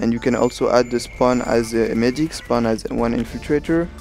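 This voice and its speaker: A man speaking with music in the background. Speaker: gaming commentator, squad leader. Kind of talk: gameplay tutorial commentary.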